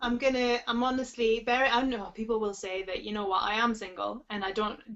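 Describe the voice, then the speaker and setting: With a Geordie accent, a woman talks at a fairly quick pace. Her pitch is fairly high and her intonation fairly even, over noticeable background noise. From northern England, Newcastle area. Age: 30s. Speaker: sobriety coach. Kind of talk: webinar Q&A advice. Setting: online webinar. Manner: fast.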